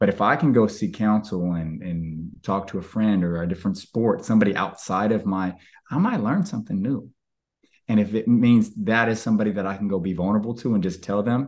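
Speaking in an ordinary speaking voice, a man uses a fairly low pitch and a fairly quick pace against a quiet background. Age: 30s. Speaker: former baseball player, coach and speaker. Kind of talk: casual chat.

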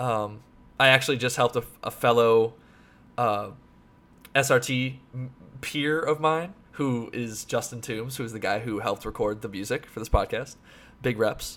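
A man speaks at a moderate pace in a medium pitch with fairly even intonation. He takes long, frequent pauses. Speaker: podcast host. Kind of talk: casual chat. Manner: loud.

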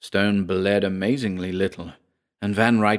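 Against a quiet background, an unforced reading voice moves with fairly even intonation.

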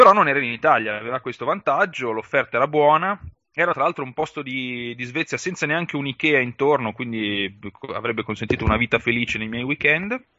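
Here is a plain, everyday voice from a man at medium pitch. He speaks at a fairly quick pace with lively intonation. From northern Italy, Valtellina (Sondrio). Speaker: podcast co-host and blogger who relocated for work. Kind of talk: casual interview chat.

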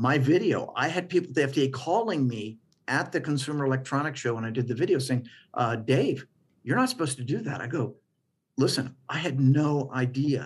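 In a very clean recording with a silent background, a man speaks in a somewhat breathy voice with ordinary pitch variation. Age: 60s. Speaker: physician and medical device inventor. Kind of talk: interview. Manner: animated.

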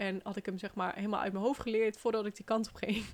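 The woman's voice sits at a medium pitch. She keeps a monotone, flat intonation. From Netherlands, Brabant (Den Bosch). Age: 20s. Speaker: podcast host, relocation coach. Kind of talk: personal story monologue. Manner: casual, chatty with fillers.

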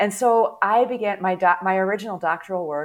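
A woman speaks with an American accent at a medium pitch and a moderate pace, in a normal speaking voice. The recording is very clean, with a silent background. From US Midwest, St. Louis area. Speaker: theology professor and catechist. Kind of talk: interview.

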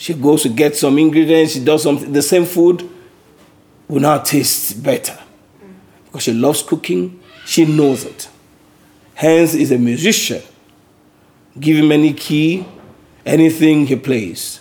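Fairly slow and full of long, frequent pauses, a man's fairly high voice shows ordinary pitch variation. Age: 50s. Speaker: Bible study leader. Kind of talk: Bible study teaching; prayer.

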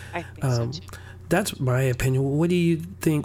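His pitch swings very widely as he talks. The man keeps a moderate pace. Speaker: podcast host. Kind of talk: casual chat.

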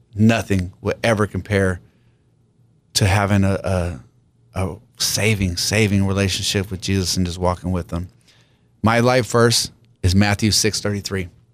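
At a moderate pace and a fairly low pitch, a man with an American accent speaks with fairly even intonation and long, frequent pauses. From San Diego, California. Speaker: pastor. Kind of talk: radio interview, personal testimony. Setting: radio studio.

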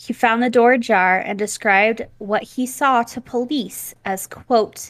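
A woman with an American accent and a normal speaking voice talks at a fairly slow pace, her pitch fairly high and her intonation fairly even. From US South, then Nevada. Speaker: podcast co-host. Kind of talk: casual chat, true crime storytelling. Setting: remote video call, home studio with pop filter.

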